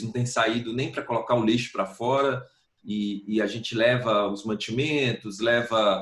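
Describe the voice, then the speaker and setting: Here a man talks in a plain, everyday voice at a moderate pace. His pitch is medium and his intonation fairly even. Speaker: singer-songwriter. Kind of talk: interview answer.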